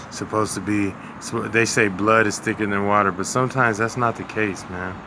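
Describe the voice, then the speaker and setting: A man's fairly low, monotone voice with flat intonation, at a fairly quick pace, amid noticeable background noise. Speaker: street interviewer. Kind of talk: casual interview questions.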